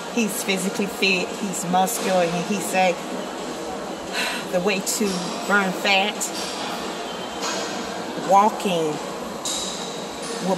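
Loud background noise around a woman's fairly slow speech. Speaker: vlogger. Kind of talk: casual vlog chat. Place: gym. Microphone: earbuds.

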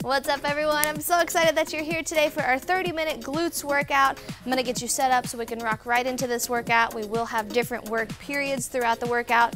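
A woman's high voice at a very fast pace with hardly any pauses, over clear music in the background. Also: ordinary pitch variation. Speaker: fitness instructor. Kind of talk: workout instruction. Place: studio. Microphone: lapel.

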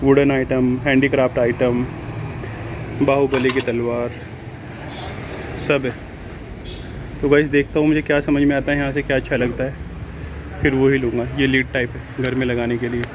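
This man speaks in a monotone, flat intonation with long, frequent pauses. Noticeable background noise runs behind him. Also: moderate pace, dry sound with no echo. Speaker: travel vlogger. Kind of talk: casual vlog chat. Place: shop. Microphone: phone near.

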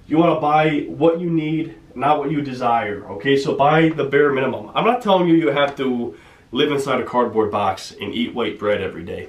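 This man has an American accent and speaks at a fairly quick pace. His intonation is lively, and audible room echo surrounds him. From United States. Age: 20s. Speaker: personal finance YouTuber. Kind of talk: casual talk-to-camera tutorial; whiteboard tutorial talk. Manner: casual, with frequent fillers (um, uh). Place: home room.

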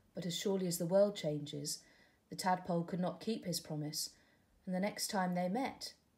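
Unforced reading voice, pitch varying in an ordinary way

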